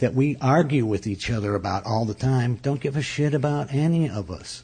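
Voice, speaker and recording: A man with an American accent speaks at a moderate pace with ordinary pitch variation. His tone is dark and mellow, somewhat breathy. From upstate New York. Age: 50s. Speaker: comedian. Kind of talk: interview conversation.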